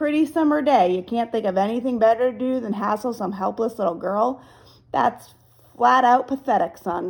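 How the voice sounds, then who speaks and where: A female-sounding voice in a put-on character voice, raspy and gravelly, talks at a moderate pace with fairly high pitch. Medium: read story. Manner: calm, menacing.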